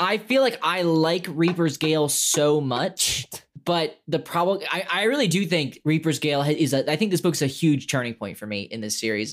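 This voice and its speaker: Using an ordinary speaking voice, a man talks at a moderate pace with fairly high pitch, lively intonation and hardly any pauses, on a very clean recording with a silent background. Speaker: podcast co-host. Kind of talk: casual chat.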